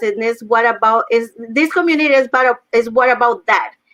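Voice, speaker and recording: Speaking at a moderate pace, a woman has a fairly high pitch and ordinary pitch variation. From Mexico. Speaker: online business host. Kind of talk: casual chat.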